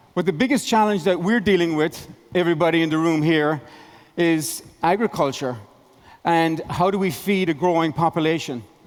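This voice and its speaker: A fairly quick man with an Irish accent, high-pitched, with ordinary pitch variation. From Ireland. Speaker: tech investor and company founder. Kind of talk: conference keynote.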